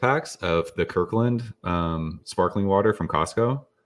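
Against a quiet background, a man with an unremarkable speaking voice and an American accent talks at a fairly low pitch with ordinary pitch variation. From California, San Jose. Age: 40s. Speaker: beer YouTuber. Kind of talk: casual chat.

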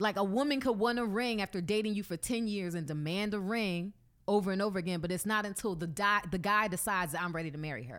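A woman talks very fast at a medium pitch with ordinary pitch variation while music plays in the background. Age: 30s. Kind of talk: casual chat. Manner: laughs often.

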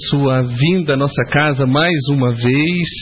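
A man talks with a fairly high pitch and ordinary pitch variation. Noticeable background noise runs underneath. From Minas Gerais, Brazil. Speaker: journalist interviewer. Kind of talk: casual interview. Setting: spiritist center with audience.

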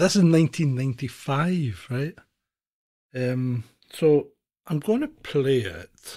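The speaker's dark, mellow tone carries lively intonation at a very slow pace, broken by long, frequent pauses. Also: man, fairly high pitch for a man. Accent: Scottish. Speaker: podcast co-host. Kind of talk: casual chat. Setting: video call.

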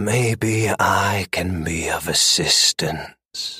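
Putting on a character voice, a man speaks raspily at a very slow pace and a fairly low pitch. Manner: calm, offering help.

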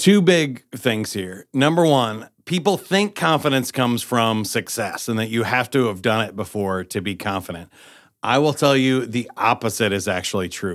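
On a very clean recording with a silent background, a man with a plain, everyday voice speaks at medium pitch and a moderate pace, his intonation lively. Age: 40s. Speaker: game show host and public speaker. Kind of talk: casual interview.

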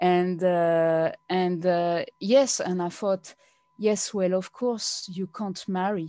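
A woman speaks at a medium pitch with a French accent, her tone dark and mellow. She talks very slowly with fairly even intonation. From France. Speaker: blogger. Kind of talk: interview. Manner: halting.

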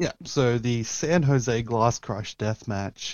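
A fairly slow, fairly even delivery with an Australian accent. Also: man. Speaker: pro wrestler. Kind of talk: casual chat.

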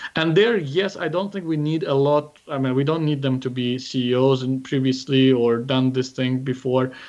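This man talks at a moderate pace with an Azerbaijani accent. His pitch varies in an ordinary way. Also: medium pitch for a man. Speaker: startup investor and founder. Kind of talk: interview. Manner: halting.

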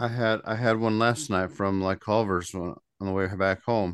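Against a quiet background, a man with an American accent uses an ordinary speaking voice, fairly low in pitch, with fairly even intonation at a moderate pace. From Indiana. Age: 40s. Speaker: podcast co-host. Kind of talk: casual chat.

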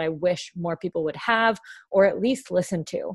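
A woman in an animated, enthusiastic tone at a moderate pace, with ordinary pitch variation, in a dry, close sound with no echo over a quiet background. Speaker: podcast host. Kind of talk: casual interview chat.

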